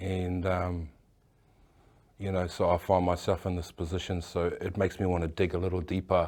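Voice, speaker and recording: A man talks at a moderate pace in a very deep, low pitch with a monotone, flat intonation. The recording is very clean, with a silent background. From New Zealand, Auckland. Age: 60s. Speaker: tattoo artist. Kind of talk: interview. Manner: halting.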